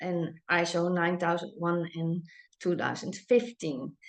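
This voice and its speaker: A woman with a Dutch accent, a bright, sharp tone and a quiet background. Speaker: business owner and chocolate maker. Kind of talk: presentation. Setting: online webinar. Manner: halting, many fillers.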